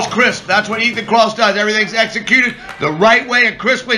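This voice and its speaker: A man's raised, projected voice at an extremely high pitch and a very fast pace, with noticeable background noise. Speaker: wrestling commentator. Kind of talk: play-by-play wrestling commentary.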